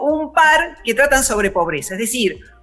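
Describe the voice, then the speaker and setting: With music in the background, a woman speaks in a Rioplatense accent at a moderate pace, her pitch swinging very widely. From Argentina. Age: 60s. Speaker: philosopher. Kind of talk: interview.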